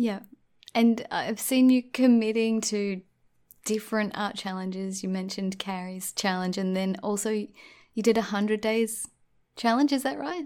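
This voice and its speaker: In a very clean recording with a silent background, a woman with an Australian accent speaks at a fairly high pitch with ordinary pitch variation. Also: moderate pace. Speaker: podcast host. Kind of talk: casual interview chat.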